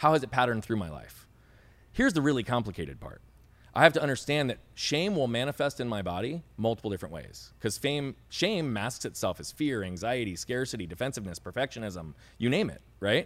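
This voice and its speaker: Vocal fry colors a man's medium-pitched voice as he talks at a fairly quick pace, with very wide pitch swings and big swings in loudness. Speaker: speaker and coach. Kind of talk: interview conversation. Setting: podcast interview. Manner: fast talker, loud.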